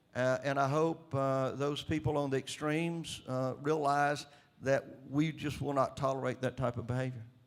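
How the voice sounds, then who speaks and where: In a Southern US accent, a man with a fairly high pitch speaks with monotone, flat intonation. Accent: Southern US drawl. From Mississippi, US. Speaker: state governor. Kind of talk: interview answer. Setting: conference stage.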